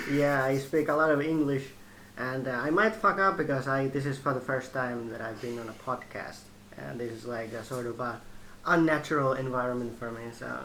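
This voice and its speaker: Here a man with a Finnish accent speaks at a moderate pace in a medium pitch. His loudness swings widely, and the room echo is audible. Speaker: host's brother. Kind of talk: casual chat. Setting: kitchen at home.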